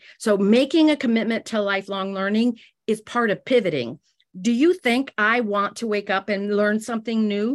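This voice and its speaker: A woman with an ordinary speaking voice and a fairly high pitch talks at a moderate pace with ordinary pitch variation against a quiet background. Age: 60s. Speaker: direct sales business leader. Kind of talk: business talk.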